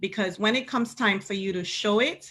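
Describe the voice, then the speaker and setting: The very clean recording, with its silent background, captures a woman of medium pitch speaking with a Caribbean accent. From Caribbean, St. Lucia. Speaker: pastor. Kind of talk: panel discussion. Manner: impassioned.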